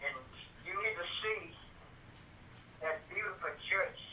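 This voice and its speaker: Against noticeable background noise, a man with a Louisiana accent speaks at a fairly slow pace. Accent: Louisiana Southern US. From US South. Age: 70s. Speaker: family elder. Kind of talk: casual chat.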